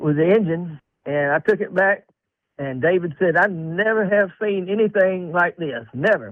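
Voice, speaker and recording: A man's high voice with a Southern US accent, moderate pace and ordinary pitch variation. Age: 70s. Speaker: caller. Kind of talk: phone-in call.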